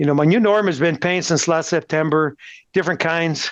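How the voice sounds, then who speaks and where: The speaker has an American accent and talks at a fairly quick pace. Pitch variation is ordinary, and the background is quiet. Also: man. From Texas, El Paso. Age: 60s. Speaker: cancer patient. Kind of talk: interview.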